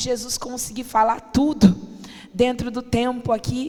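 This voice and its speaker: The woman speaks at a high pitch. Her intonation stays fairly even. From Brazil, family from the Northeast. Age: 30s. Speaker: pastor. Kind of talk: sermon. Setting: church.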